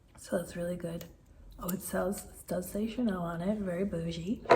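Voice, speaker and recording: Soft-spoken and whispering, the speaker is heard through noticeable background noise. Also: woman. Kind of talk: makeup unboxing and review talking to camera. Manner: whispered, soft.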